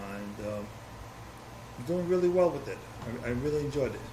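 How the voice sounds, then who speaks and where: A man with a New York accent, amid noticeable background noise and audible room echo. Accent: New York City. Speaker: former volunteer firefighter and community historian. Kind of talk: oral history interview.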